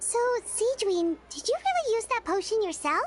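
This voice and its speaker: A woman puts on a squeaky character voice at an extremely high pitch with lively intonation. Clear background noise runs beneath it. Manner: surprised, curious.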